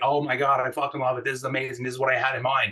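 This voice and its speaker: A man talks loudly at a medium pitch. His tone is animated. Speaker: design manager. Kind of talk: workshop talk.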